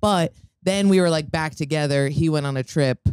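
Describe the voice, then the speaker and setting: A woman's very deep, low voice in a dark, mellow tone, at a fairly quick pace with fairly even intonation, in a dry sound with no echo against a quiet background. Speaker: comedian and podcast co-host. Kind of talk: casual chat. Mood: relaxed, joking storytelling. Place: home room. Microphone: handheld.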